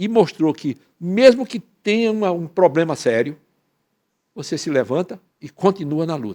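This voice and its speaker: Very wide pitch swings in a man's high voice. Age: 80s+. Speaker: professor and author. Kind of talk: panel talk. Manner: halting.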